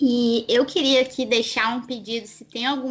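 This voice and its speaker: Someone talks at a fairly slow pace while music plays in the background. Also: woman. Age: 20s. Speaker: pastor's daughter, law graduate. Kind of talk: casual panel discussion.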